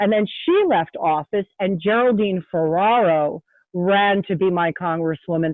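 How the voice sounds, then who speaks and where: A woman talks at a moderate pace and a medium pitch with ordinary pitch variation. It is an ordinary speaking voice. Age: 60s. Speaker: state representative. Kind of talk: interview. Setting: podcast.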